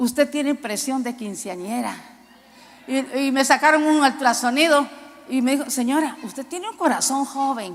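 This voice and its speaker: Long, frequent pauses break up speech delivered at a moderate pace with ordinary pitch variation. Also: woman. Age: 60s. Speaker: preacher. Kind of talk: sermon.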